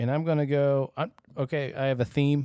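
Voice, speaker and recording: An American accent marks this man's ordinary speaking voice, fairly high in pitch and fairly quick, with a dry, close sound and no echo. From US Michigan. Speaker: podcast host. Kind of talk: casual chat.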